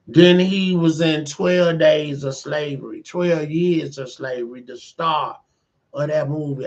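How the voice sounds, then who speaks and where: A man with an American accent speaks fairly slowly at a fairly high pitch, keeping his intonation fairly even. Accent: sounds Southern US to others. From US, Washington DC. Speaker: video blogger. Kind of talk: casual monologue.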